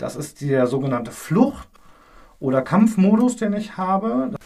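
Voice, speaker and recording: This man has a dark, mellow tone with a high pitch. His intonation is lively. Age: 30s. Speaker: paramedic. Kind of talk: educational interview.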